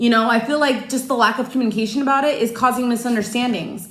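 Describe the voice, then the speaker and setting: Loud, passionate and animated, a woman at a high pitch, very fast pace, ordinary pitch variation and audible room echo. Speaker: tarot card reader. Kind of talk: personal tarot reading. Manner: passionate, animated.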